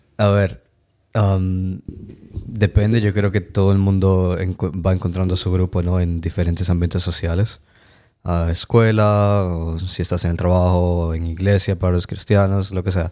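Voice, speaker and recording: On a very clean recording with a silent background, a dark, mellow voice moves at a fairly slow pace in a flat monotone. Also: man, very deep, low pitch for a man. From Dominican Republic. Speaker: podcast guest. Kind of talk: casual chat.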